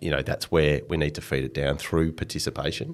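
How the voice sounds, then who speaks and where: An Australian-accented man talks at a fairly quick pace in a very deep, low voice with vocal fry and monotone, flat intonation. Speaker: sports executive. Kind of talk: interview.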